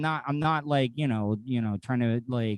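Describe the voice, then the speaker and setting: A man talks at a moderate pace in an animated tone, his intonation lively. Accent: American. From US South. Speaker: podcaster. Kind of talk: casual chat.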